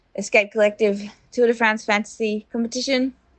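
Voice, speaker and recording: With an Australian accent, a woman mumbles at a fairly high pitch with fairly even intonation. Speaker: professional cyclist. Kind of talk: audio diary. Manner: mumbling.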